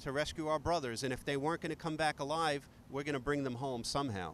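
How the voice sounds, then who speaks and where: A man with a New York accent speaks with ordinary pitch variation. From New York, Queens. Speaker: retired firefighter. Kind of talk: interview testimony.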